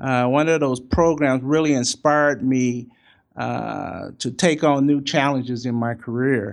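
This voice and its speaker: The background is quiet as a man talks fairly slowly. His pitch is medium and his intonation fairly even. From US Midwest, St. Louis. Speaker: university finance executive. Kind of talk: interview. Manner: halting, many fillers.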